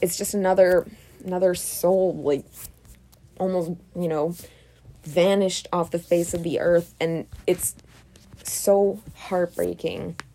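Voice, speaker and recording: Speaking at a fairly slow pace, a woman keeps a monotone, flat intonation and leaves long, frequent pauses. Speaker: true crime podcaster. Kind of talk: podcast narration. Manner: hesitant, many fillers.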